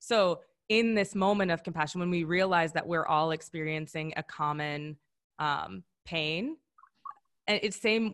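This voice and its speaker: This is a plain, everyday voice with an American accent. The pitch varies in an ordinary way. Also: woman. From US Midwest, Wisconsin. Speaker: founder and wellness coach. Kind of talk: webinar presentation. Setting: online webinar.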